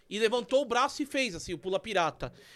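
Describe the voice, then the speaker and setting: A man with an extremely high pitch speaks in a raised, projected voice, bright and sharp, at a fairly quick pace. His intonation is lively, and the recording is very clean with a silent background. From São Paulo area. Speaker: podcast co-host. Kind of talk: casual chat.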